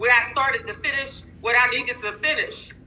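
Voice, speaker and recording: The woman's voice is high in pitch. She speaks in a raised, projected voice. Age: 50s. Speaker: nurse and minister, sales distributor. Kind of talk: testimony. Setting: online live call. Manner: animated.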